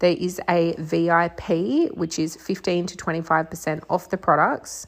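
A woman with a fairly low pitch speaks at a moderate pace in an ordinary speaking voice. Her intonation is fairly even. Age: 30s. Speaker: podcast host, psychic medium and mentor. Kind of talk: solo monologue podcast. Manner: casual, with fillers and laughs.

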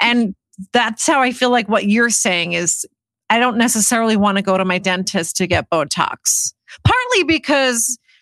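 In a dry, close sound with no echo, a woman with a plain, everyday voice speaks at a moderate pace and fairly high pitch, her loudness very even and her intonation lively. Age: 40s. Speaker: podcast co-host. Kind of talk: casual chat.

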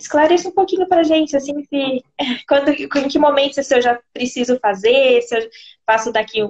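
With very wide pitch swings, a woman talks at a moderate pace in a high pitch. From São Paulo, Brazil. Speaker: nutritionist. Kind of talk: live video interview.

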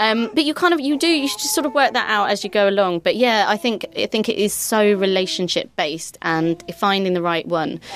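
A woman speaks at a fairly quick pace with hardly any pauses, over noticeable background noise. Her fairly high pitch makes very wide swings. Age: 30s. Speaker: podcast host. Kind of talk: casual chat.

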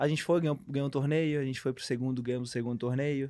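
His voice has a dark, mellow tone at a medium pitch for a man. It's a very clean recording against a silent background. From Brazil, Santa Catarina (Brusque). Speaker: professional beach tennis player. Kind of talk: casual interview.

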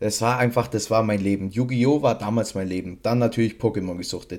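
Heard in a very clean recording over a silent background, a man speaks with a dark, mellow tone. His pitch is medium and varies in an ordinary way. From Bavaria, Regensburg. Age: 20s. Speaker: podcast co-host, trading card collector. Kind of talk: casual chat.

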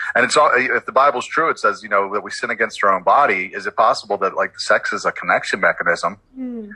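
A man with an American accent talks very fast, with hardly any pauses. The sound is dry and close, with no echo. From Baltimore, Maryland. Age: 40s. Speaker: ministry founder, former stripper. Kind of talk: interview testimony.

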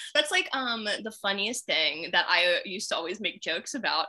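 A woman with an American accent speaks at a fairly high pitch in a bright, sharp tone, her pitch swinging very widely. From Maryland, US. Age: 20s. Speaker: astrologer. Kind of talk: casual chat.

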